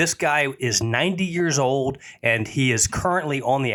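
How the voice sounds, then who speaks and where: A man's medium-pitched, unremarkable speaking voice, its pitch varying in an ordinary way. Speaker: podcast host. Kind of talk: podcast intro.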